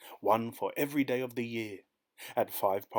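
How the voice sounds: Pitch varies in an ordinary way in this natural reading voice. Nothing much stirs in the background.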